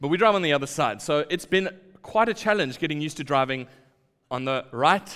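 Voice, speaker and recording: Talking at a very fast pace, a man with a fairly high pitch shows vocal fry and very wide pitch swings. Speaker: preacher. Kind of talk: sermon. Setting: church.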